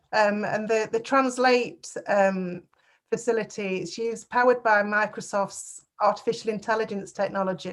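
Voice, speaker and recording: A woman with a northern English accent at a fairly high pitch, fairly even intonation and a moderate pace, in a very clean recording with a silent background. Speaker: council officer. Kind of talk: meeting presentation.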